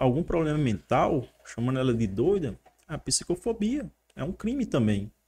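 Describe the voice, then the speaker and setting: A man speaking at a moderate pace. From Northeast Brazil (Paraíba), raised partly in São Paulo and Mossoró; Paraíba, Brazil. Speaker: photographer. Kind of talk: casual interview. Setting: studio. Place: studio. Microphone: studio mic.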